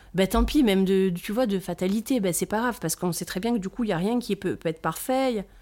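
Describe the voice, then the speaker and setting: The recording is very clean, with a silent background. A woman speaks at a medium pitch in a dark, mellow tone. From Corsica (south). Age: 40s. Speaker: brand founder, mother of four. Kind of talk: casual interview chat.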